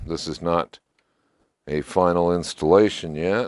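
A man talks at a fairly slow pace with a low pitch. His tone is slightly mellow, with ordinary pitch variation.

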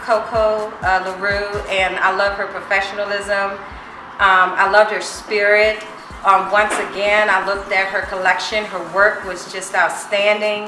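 With music in the background, a woman speaks at a fairly slow pace with monotone, flat intonation. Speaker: customer giving a review. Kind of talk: testimonial.

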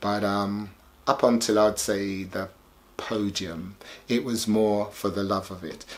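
A man speaks at a fairly slow pace with a fairly low pitch. His intonation stays fairly even. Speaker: sound system founder; interviewee. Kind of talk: documentary interview. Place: home room.

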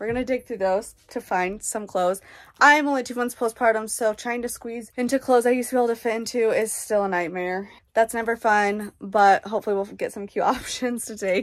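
A woman at a fairly quick pace with fairly even intonation, against a quiet background. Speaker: parent vlogger. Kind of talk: casual vlog chat. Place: home room. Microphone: phone near.

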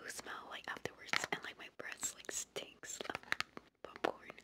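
The voice is whispering at a moderate pace. Noticeable background noise is present. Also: woman. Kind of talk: ASMR whispered ramble to camera. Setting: home, close-mic, gum chewing. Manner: whispered, chatty, casual.

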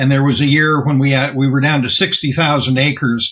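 In a normal speaking voice, a man with an American accent talks at a moderate pace and a fairly high pitch against a quiet background. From US. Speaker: organic farmer and activist; guest. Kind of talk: interview. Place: office. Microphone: webcam.

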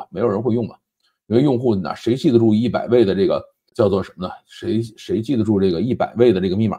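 The tone is dark and mellow, and the pace is very fast. The background stays quiet. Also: man. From China. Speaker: tech and current affairs commentator; commentator. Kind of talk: solo commentary monologue; commentary on tech and politics. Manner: conversational, frequent filler particles. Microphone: lapel.

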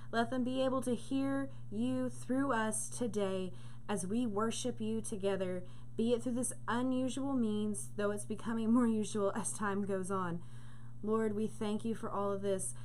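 Light background noise sits under a woman speaking at a moderate pace with very wide pitch swings. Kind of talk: spoken prayer. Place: home room. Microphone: webcam.

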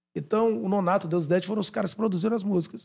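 A man talks against a quiet background. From Brazil, Maranhão. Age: 40s. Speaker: radio presenter and DJ; radio presenter, DJ. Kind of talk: casual interview. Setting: studio. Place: studio. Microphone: studio mic.

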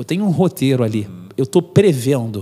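A man's dark, mellow voice moves at a fairly quick pace through very wide pitch swings. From Brazil. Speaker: marine officer and philosophy teacher; philosophy teacher. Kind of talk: interview. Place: studio. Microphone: studio mic.

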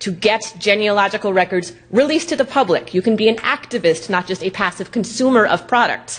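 Talking at a fairly quick pace, a woman with an American accent uses a medium pitch and ordinary pitch variation. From New York. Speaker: genealogy activist; presenter. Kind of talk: conference lecture. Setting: stage with audience. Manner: fast. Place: hall.

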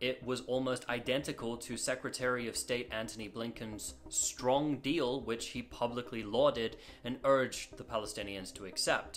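Light background noise sits behind this man. He speaks at a moderate pace. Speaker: news explainer host. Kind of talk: news commentary. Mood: serious, critical. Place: home room.

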